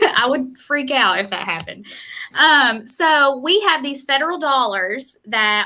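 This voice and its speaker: A woman's high, bright, sharp voice, raised and projected, with lively intonation on a very clean recording over a silent background. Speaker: youth career specialist. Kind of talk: live stream interview. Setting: live video stream. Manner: animated.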